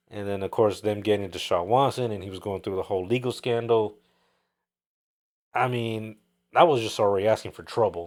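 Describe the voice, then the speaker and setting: On a very clean recording with a silent background, a man with a fairly low pitch talks at a fairly quick pace with fairly even intonation, big swings in loudness, and long, frequent pauses. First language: not English. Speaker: sports podcast co-host. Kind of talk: casual chat.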